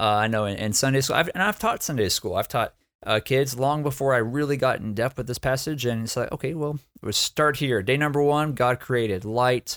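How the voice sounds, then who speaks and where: A man with an American accent talks in a normal speaking voice at a moderate pace, on a very clean recording with a silent background and a dry, close sound with no echo. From Texas. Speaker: church planter and preacher. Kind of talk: Bible teaching in a casual podcast chat. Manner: repeats words and restarts sentences.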